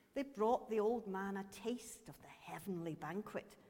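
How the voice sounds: Here is a natural reading voice. Its pitch varies in an ordinary way.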